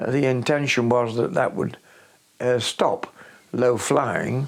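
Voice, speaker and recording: A man speaks in a Yorkshire accent at medium pitch. His pace is very slow and his intonation fairly even. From Sheffield, England. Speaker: retired local government worker. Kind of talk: interview answer. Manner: hesitant, many fillers.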